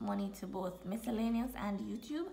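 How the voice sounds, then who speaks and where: Speaking at a fairly slow pace, a woman's voice carries vocal fry. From Jamaica. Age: 20s. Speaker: personal finance vlogger. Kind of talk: casual talk to camera.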